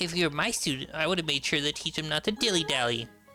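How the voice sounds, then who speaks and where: Over clear music in the background, a man races along at a very fast pace in a put-on character voice, fairly high in pitch, with ordinary pitch variation and very even loudness. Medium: game stream. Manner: prim, lecturing.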